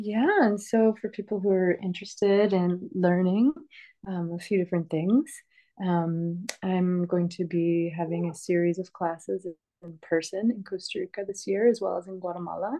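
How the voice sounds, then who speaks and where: Moderate pace and ordinary pitch variation from a woman with a medium pitch. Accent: Northeastern US. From US, upstate New York (Rochester). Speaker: herbalist and permaculture teacher. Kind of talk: interview.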